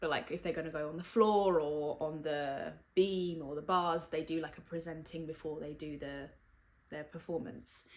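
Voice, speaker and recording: This is a woman's voice. She talks at a moderate pace. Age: 20s. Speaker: podcast host. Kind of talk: personal monologue. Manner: loud.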